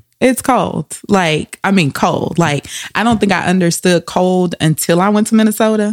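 A woman's medium-pitched voice at a moderate pace, with very even loudness, ordinary pitch variation and a dry, close sound free of echo. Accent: Southern US. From Louisiana. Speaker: psychologist. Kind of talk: casual interview.

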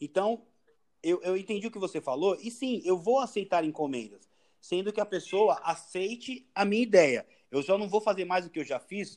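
Lively intonation from a man with a high pitch, at a moderate pace. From São Paulo, east zone (Itaim Paulista). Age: 40s. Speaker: tattoo artist and surfer. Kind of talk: casual chat.

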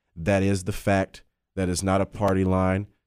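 In a very clean recording with a silent background, a man speaks in a very deep, low pitch. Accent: American. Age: 30s. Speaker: political candidate. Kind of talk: radio interview.

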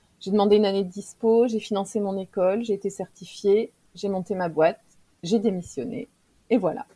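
At a moderate pace, a woman with a medium pitch speaks in a somewhat breathy voice with a dark, mellow tone and fairly even intonation. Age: 40s. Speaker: professional coach and trainer. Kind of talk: casual interview chat.

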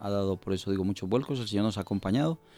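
A man's dark, mellow voice with a Colombian accent and ordinary pitch variation. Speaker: pastor. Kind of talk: testimony. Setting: studio.

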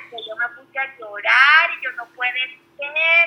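A woman's raised, projected voice, high in pitch, at a fairly slow pace. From Venezuela. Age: 20s. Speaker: stay-at-home mother, former teacher. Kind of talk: personal birth story in casual interview.

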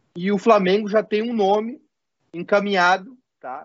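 This man's voice sits high. Its pitch moves up and down in ordinary ways. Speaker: stand-in sports show host. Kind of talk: casual sports talk show. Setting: live stream with chat.

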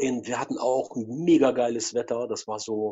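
The man's voice sits at a medium pitch. His intonation stays fairly even. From Russia. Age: 40s. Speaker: photographer. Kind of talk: interview.

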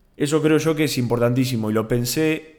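A man speaks with a Rioplatense accent. His pitch varies in an ordinary way. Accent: Argentine Rioplatense Spanish. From Argentina, Bahía Blanca. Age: 20s. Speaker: podcast host, university student. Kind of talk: solo casual monologue.

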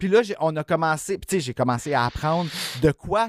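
A man with a Quebec accent speaks at a fairly slow pace, his pitch fairly high and his intonation lively. The recording is very clean, with a silent background and a dry, close sound without echo. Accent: Québécois French. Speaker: horror podcast co-host. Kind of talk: casual chat.

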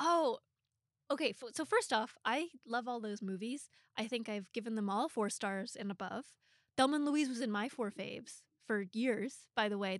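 With an American accent and a normal speaking voice, a woman talks at a fairly quick pace, her fairly high pitch moving with ordinary variation. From US Pacific Northwest. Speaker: film journalist and podcast co-host. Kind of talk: casual interview chat.

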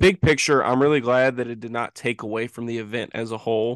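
Using a normal speaking voice with an American accent, a man talks at a fairly quick pace with ordinary pitch variation and big swings in loudness, in a dry, close sound with no echo and a quiet background. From United States. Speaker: podcast co-host. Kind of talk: casual chat. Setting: remote call.

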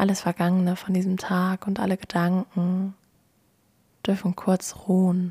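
In a dry, close sound with no echo, a woman speaks at a fairly slow pace in a calm, soothing, somewhat breathy tone, with monotone, flat intonation, very even loudness, and long, frequent pauses. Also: medium pitch for a woman. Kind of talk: guided meditation. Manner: slow, calm, soothing and gentle.

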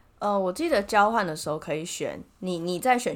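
This voice belongs to a woman. There is ordinary variation in her pitch. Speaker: podcast co-host. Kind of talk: casual chat.

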